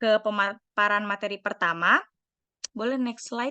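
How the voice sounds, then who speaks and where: A woman's fairly high, bright and sharp voice at a fairly slow pace, dry and close with no echo, over a quiet background. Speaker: psychology student, training moderator. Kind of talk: online training moderation. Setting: video call. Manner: hesitant, many fillers.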